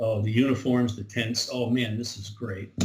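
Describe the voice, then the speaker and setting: A man's somewhat breathy voice at medium pitch. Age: 70s. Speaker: Civil War reenactment organizer. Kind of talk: interview. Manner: halting.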